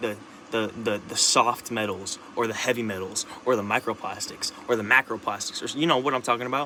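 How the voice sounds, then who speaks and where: Through noticeable background noise, a man talks at a fairly quick pace with a medium pitch. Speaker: vlogger. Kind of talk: casual monologue. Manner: halting, many restarts and repetitions; rambling, animated.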